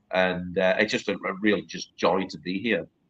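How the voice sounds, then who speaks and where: With a Cumbrian accent, a man talks at a fairly slow pace in a fairly low pitch, his tone bright and sharp. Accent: northern English (Cumbrian). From northern England, Carlisle. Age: 50s. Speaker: journalist and author. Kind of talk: interview chat.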